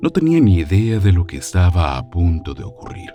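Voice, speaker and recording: A man's voice with very wide pitch swings, music playing in the background. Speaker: voice-over narrator. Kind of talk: documentary narration.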